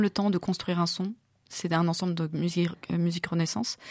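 Recorded very cleanly against a silent background, with a dry, close sound and no echo, a woman talks at a moderate pace. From France, Loire (Montbrison). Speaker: soprano singer and singing teacher. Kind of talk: interview. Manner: hesitant, frequent fillers.

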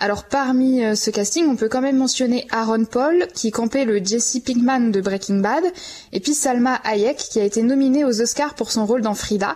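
A woman speaks in a high pitch with ordinary pitch variation and very even loudness, over noticeable background noise. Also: moderate pace. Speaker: radio columnist. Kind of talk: radio chronicle.

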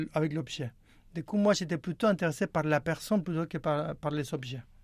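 A man with a high voice and ordinary pitch variation comes through on a very clean recording with a silent background. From Argentina. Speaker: juggler and choreographer. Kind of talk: radio interview. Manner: halting.

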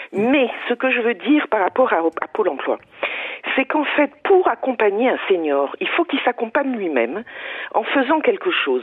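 Against noticeable background noise, a woman with a high pitch speaks at a moderate pace with very wide pitch swings. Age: 70s. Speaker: business coach and trainer. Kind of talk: radio call-in. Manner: halting.

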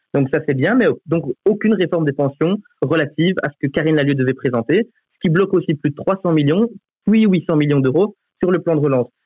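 A man with an unremarkable speaking voice talks fairly quickly at a fairly high pitch, with ordinary pitch variation and very even loudness. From Belgium, Charleroi region. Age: 20s. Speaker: youth politician. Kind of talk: radio debate.

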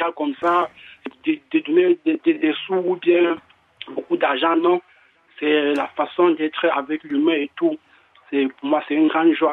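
A man speaks at a very slow pace in a high voice with flat, monotone intonation and long, frequent pauses. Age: young. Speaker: caller. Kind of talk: testimony. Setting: phone call. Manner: halting.

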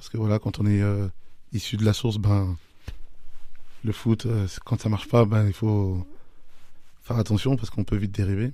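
On a very clean recording with a silent background, a man with a dark, mellow tone and fairly low pitch speaks at a moderate pace with fairly even intonation. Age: 30s. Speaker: youth football technical director. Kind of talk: radio interview. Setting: radio studio.

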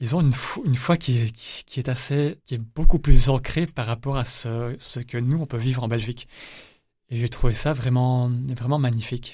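Recorded very cleanly with a silent background, the voice has a dark, mellow tone, is somewhat breathy, and moves at a moderate pace with fairly even intonation. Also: man, medium pitch for a man, big swings in loudness. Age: 20s. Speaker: pilgrim. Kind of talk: testimony. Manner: halting.

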